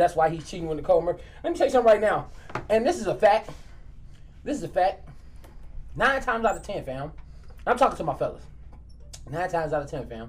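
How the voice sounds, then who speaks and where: The pace is very fast. Long pauses come often. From Maywood, Illinois (Chicago area). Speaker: comedian and podcast co-host. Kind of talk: casual chat.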